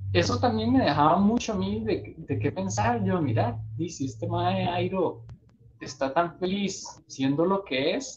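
His voice marked by vocal fry, a man speaks fairly slowly with very wide pitch swings. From Costa Rica. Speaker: podcast host. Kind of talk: casual chat. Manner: animated, laughs often.

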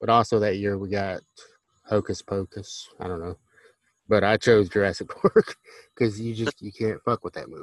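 Fairly quick and fairly low in pitch, a man speaks with fairly even intonation. The sound is dry and close, with no echo. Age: 30s. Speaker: podcast host. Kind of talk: casual chat. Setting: video call.

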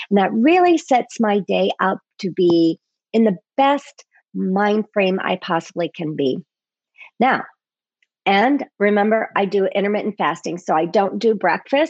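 In a dry, close sound with no echo, a woman with a normal speaking voice of medium pitch talks at a fairly slow pace with lively intonation. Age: 50s. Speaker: podcast host, health coach. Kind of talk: solo podcast talk.

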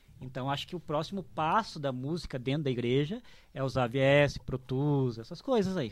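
On a very clean recording with a silent background, a man with a fairly high voice talks at a moderate pace with ordinary pitch variation. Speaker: drum teacher and church musician. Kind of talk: casual chat.

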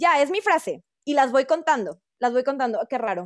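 A high-pitched woman at a moderate pace with very wide pitch swings, in a very clean recording with a silent background and a dry, close sound with no echo. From Torreón, Coahuila, northern Mexico. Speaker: dance teacher. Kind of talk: round-table discussion.

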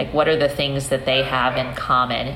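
Recorded with audible room echo and noticeable background noise, a woman speaks with an American accent. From upstate New York, US. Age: 40s. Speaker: sociology professor. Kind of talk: interview conversation.

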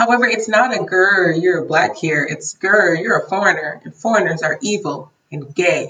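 In an American accent, a woman uses an ordinary speaking voice at medium pitch, speaking at a fairly slow pace with lively intonation. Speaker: English teacher abroad. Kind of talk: casual chat. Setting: remote call from home.

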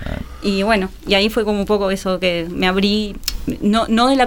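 Noticeable background noise sits behind a woman's medium-pitched voice, which has ordinary pitch variation. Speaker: executive producer. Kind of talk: casual interview.

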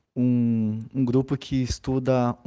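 The voice is a man's, at a medium pitch. Its tone is dark and mellow. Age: 30s. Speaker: maracatu group leader and arts educator. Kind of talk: interview.

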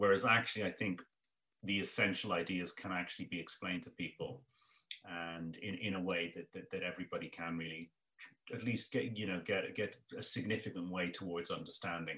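Speaking fairly quickly with an Irish accent, a man delivers a very deep, low pitch with a bright, sharp tone. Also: fairly even intonation. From Ireland. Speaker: economist. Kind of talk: interview. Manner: halting, repeats words.

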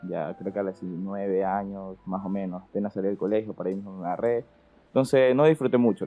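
A man with an ordinary speaking voice, fairly low in pitch, speaks at a fairly quick pace with ordinary pitch variation. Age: 20s. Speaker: business student and importer. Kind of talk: casual chat. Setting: in class during call.

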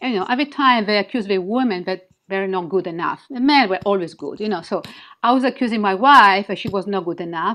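A woman with a strong Italian accent speaks with ordinary pitch variation. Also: quiet background. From Italy; Milan, Italy. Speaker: intuitive healer and author. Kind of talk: interview, conversational, guiding an activation. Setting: video call. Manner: halting, broken English with pauses.

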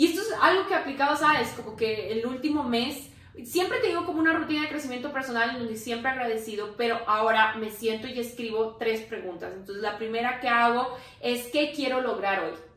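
Noticeable background noise and audible room echo accompany the recording. A woman speaks at a fairly quick pace with a high pitch and lively intonation. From Ecuador, Quito. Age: 30s. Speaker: entrepreneur. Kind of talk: casual chat.

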